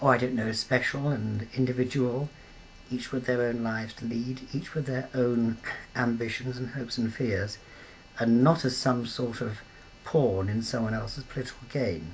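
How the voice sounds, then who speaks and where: There is noticeable background noise as a man speaks with a British accent. His medium-pitched voice moves at a moderate pace with fairly even intonation. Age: 70s. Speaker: peace campaigner. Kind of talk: interview. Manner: halting, many fillers.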